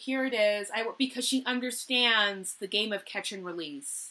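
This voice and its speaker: A loud woman's voice with a bright, sharp tone, ordinary pitch variation and a moderate pace. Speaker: tarot reader. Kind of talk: tarot reading monologue. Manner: loud, outspoken; halting with repetitions.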